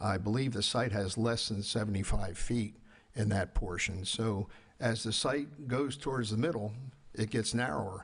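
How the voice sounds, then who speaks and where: The voice is somewhat breathy and keeps a very even loudness. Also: man, fairly low pitch for a man, ordinary pitch variation, moderate pace. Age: 80s+. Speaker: architect and developer. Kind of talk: public hearing presentation. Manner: halting, many fillers.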